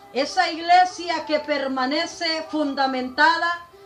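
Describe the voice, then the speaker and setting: Music plays in the background as a high-voiced woman speaks very slowly with ordinary pitch variation. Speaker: preacher. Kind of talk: religious sermon denouncing a preacher.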